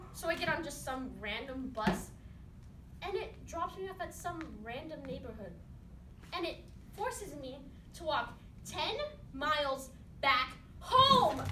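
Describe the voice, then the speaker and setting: Over light background noise and audible room echo, a woman uses a raised, projected voice at a fairly slow pace, with very wide pitch swings, big swings in loudness and long, frequent pauses. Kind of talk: comic monologue performance. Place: stage. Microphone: camera far.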